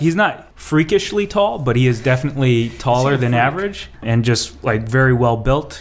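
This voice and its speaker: Here a man talks at a moderate pace and medium pitch. He has an ordinary speaking voice. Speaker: tabletop game master. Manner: relaxed, laughing storyteller.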